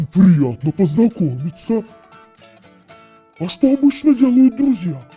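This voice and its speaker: A cartoonish character voice with a fairly high pitch and very wide pitch swings moves at a moderate pace over faint music in the background. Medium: puppet. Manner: delighted, warm.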